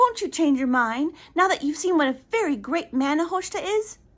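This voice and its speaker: In a put-on character voice, a female-sounding voice squeaks at an extremely high pitch for a woman, moving at a moderate pace. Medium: read story. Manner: fluttery, fussy.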